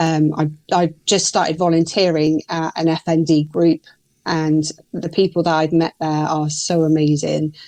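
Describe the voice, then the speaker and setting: A woman with a very deep, low pitch and a dark, mellow tone speaks in a monotone, flat way at a moderate pace, the sound dry and close with no echo. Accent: British. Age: 40s. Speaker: guest with a neurological disorder. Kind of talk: interview.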